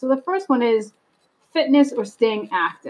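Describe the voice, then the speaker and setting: A woman with an unremarkable speaking voice talks in an American accent at a moderate pace. Her intonation is lively. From US Northeast. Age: 40s. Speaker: podcast host. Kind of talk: solo podcast monologue.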